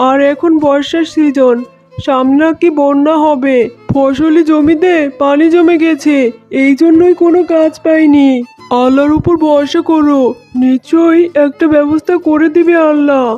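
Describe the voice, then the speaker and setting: A cartoonish character voice plays over faint music in the background. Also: moderate pace. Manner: steady, consoling.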